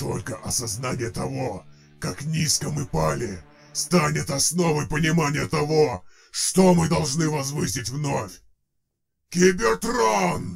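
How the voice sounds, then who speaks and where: This man puts on a character voice at a fairly high pitch. He moves at a fairly slow pace with long, frequent pauses. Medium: audio drama. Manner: rousing, defiant, oratorical.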